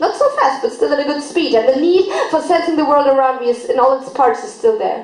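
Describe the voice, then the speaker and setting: A woman's pitch swings very widely as she talks fairly quickly against noticeable background noise. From Germany. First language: German. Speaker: poet, spoken word artist. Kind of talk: slam poetry performance. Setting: live stage event.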